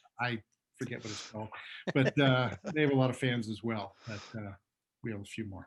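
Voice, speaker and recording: A man with a Pittsburgh accent speaks fairly quickly at a medium pitch, his intonation fairly even. His loudness swings widely, he sounds somewhat breathy, and he takes long, frequent pauses. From Pittsburgh, North Side. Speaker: sports journalist. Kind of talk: casual interview chat. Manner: frequent fillers (uh).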